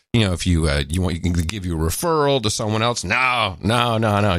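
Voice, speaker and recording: A fairly low-pitched man at a fairly quick pace, lively in intonation, against noticeable background noise. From Netherlands. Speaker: podcast host. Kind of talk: casual chat. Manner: animated.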